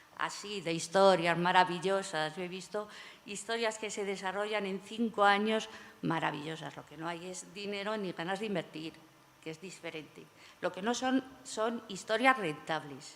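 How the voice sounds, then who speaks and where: An unremarkable speaking voice with big swings in loudness and ordinary pitch variation. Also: woman, medium pitch for a woman, moderate pace. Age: 60s. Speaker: panel moderator. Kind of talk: panel discussion.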